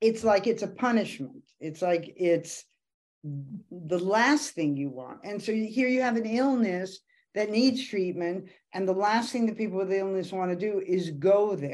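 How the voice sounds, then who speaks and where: A woman with a normal speaking voice talks at a fairly slow pace. Her medium pitch moves with lively intonation. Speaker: podcast co-host, mother. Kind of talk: casual interview chat.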